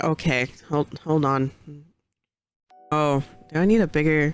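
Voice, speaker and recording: Over music in the background, a woman talks with a very deep, low pitch. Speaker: streamer. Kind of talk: casual talk to stream chat.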